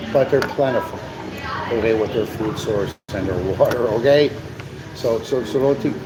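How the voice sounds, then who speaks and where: An animated man talks at a moderate pace. Audible room echo and noticeable background noise surround his voice. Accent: Chicago. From US Midwest, Chicago. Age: 60s. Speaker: live stream co-host. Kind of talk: casual live stream chat. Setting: cafe. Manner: animated, repetitive with many fillers.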